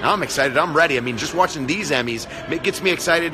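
A man is talking. Behind him, music is playing. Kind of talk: casual live stream chat. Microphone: phone near.

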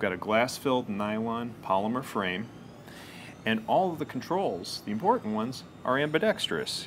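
A man at a moderate pace, with light background noise behind him. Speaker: presenter. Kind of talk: product demonstration. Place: office.

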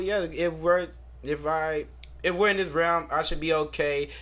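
In a plain, everyday voice, a man talks at a fairly high pitch with fairly even intonation. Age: 30s. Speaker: podcast co-host. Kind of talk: casual chat.

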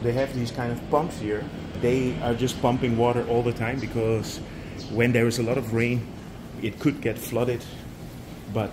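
Over noticeable background noise, a man talks at a fairly slow pace with monotone, flat intonation. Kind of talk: property tour narration. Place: garden. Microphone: phone near.

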